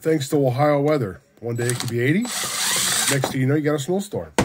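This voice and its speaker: Noticeable background noise accompanies speech delivered at a moderate tempo. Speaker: electronics repair YouTuber. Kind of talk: tutorial. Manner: casual, thinking aloud.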